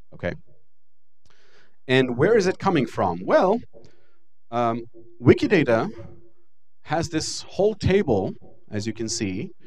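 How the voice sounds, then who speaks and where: A man speaks slowly, with an Israeli accent and a fairly high pitch. His pitch swings very widely, and he leaves long, frequent pauses. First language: Hebrew. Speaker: lecturer. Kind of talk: lecture.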